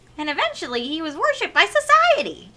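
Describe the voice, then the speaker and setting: A squeaky, put-on character voice at an extremely high pitch. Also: very fast pace. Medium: game stream. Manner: theatrical, playful.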